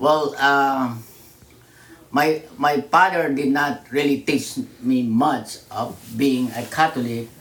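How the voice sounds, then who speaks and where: A man speaks at a very slow pace with a medium pitch. His intonation stays fairly even. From Philippines, Manila. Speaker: churchgoer and immigrant father. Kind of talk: interview. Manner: halting.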